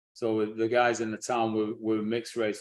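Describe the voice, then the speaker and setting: A man speaks with a Lancashire accent at a moderate pace and medium pitch. The background is quiet. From northern England, Blackburn, Lancashire. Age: 60s. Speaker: teacher and speaker on African history. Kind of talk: interview. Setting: live stream.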